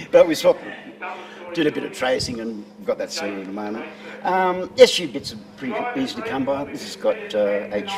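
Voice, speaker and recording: A man's fairly high, fast-moving voice with very wide pitch swings and big swings in loudness, over noticeable background noise. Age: 60s. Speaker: classic car owner. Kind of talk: casual interview.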